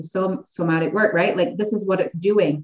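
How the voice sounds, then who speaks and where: With a Canadian accent, a woman uses an ordinary speaking voice at medium pitch, her intonation lively. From Ontario, Canada. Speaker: massage therapist and somatic coach. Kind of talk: casual chat.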